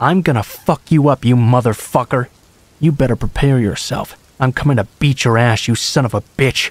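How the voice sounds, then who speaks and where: A man's put-on character voice, growling, at medium pitch with ordinary pitch variation, a moderate pace, very even loudness, and a dry, close sound with no echo. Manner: menacing.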